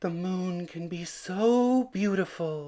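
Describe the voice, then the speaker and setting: A man performs a put-on character voice pitched high. He delivers it at a very slow pace. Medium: read story.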